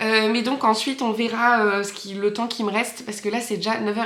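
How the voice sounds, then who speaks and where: Amid noticeable background noise and audible room echo, a woman talks fairly quickly in a fairly high pitch with fairly even intonation. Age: 30s. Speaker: knitting vlogger. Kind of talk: casual vlog chat. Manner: hesitant, many fillers.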